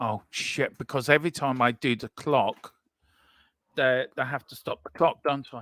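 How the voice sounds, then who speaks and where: A man with an English accent, bright and sharp in tone, at a moderate pace with fairly even intonation and big swings in loudness, in a dry, close sound with no echo. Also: medium pitch for a man. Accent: English-sounding. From Ireland. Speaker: sports watchalong host. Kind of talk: casual chat.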